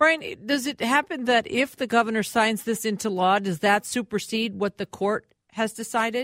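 A woman with an Upper Midwest accent at a fairly high pitch, her sound dry and close with no echo. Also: ordinary pitch variation, moderate pace. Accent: Upper Midwest (Minnesota). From Minneapolis, Minnesota. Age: 60s. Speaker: fill-in radio host. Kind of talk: radio talk show interview.

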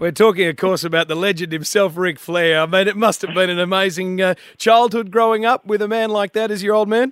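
The speaker has an Australian accent. The pace is fairly quick with hardly any pauses. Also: man, high pitch for a man. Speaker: radio host. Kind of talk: breakfast radio show. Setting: studio. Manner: animated.

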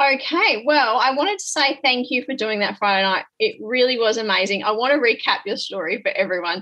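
A woman with an Australian accent and a high pitch, very wide pitch swings, a fairly quick pace and hardly any pauses. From rural Western Australia. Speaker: podcast host and business mentor. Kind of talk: casual chat. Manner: animated.

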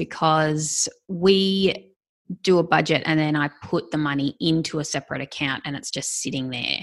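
A woman talks at a moderate pace with an Australian accent. The background is quiet. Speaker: podcast host. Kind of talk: casual interview.

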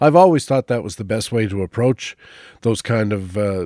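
A man with a fairly low pitch and a dark, mellow tone speaks at a moderate pace, recorded dry and close with no echo in a very clean recording with a silent background. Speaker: radio host. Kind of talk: interview and news reading.

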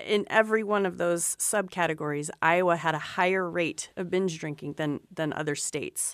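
A plain, everyday voice at a moderate pace with fairly even intonation, on a very clean recording with a silent background. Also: woman, fairly low pitch for a woman. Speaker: cancer registry director, epidemiologist. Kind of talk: expert panel discussion on radio. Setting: studio.

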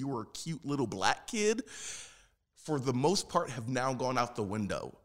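Speaking with an American accent, a man makes very wide pitch swings on a very clean recording with a silent background. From South Philadelphia, US. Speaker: puppeteer and actor. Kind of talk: interview. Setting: studio.

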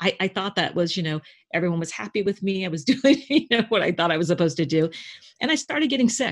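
Over a quiet background, a woman with a plain, everyday voice speaks at a medium pitch with lively intonation. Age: 50s. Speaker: intuitive business coach. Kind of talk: casual chat.

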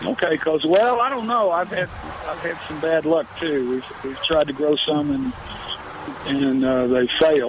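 A man with an American accent, fairly high-pitched, lively in intonation, at a fairly slow pace, with noticeable background noise. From Texas Gulf Coast (Freeport). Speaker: caller. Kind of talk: call-in question.

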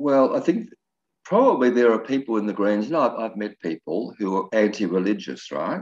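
A fairly low-pitched man with an Australian accent, ordinary pitch variation and a moderate pace. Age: 70s. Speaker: retired minister and election candidate. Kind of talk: radio interview.

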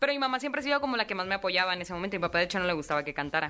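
A woman's bright, sharp, animated voice at medium pitch, with lively intonation and a very fast pace. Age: 20s. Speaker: singer. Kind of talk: interview.

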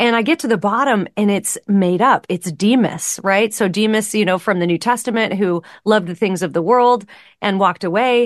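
A woman talks in a plain, everyday voice at a medium pitch and moderate pace. Her loudness stays very even, her pitch varies in an ordinary way, and the background is quiet. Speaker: author and speaker. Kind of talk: casual interview chat.

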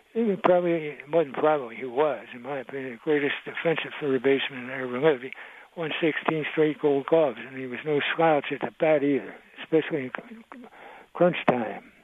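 An American-accented man talks at a fairly quick pace with a fairly high pitch, ordinary pitch variation and big swings in loudness, over noticeable background noise. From Maryland. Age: 80s+. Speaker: caller. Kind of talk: casual chat. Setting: phone call. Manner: halting.

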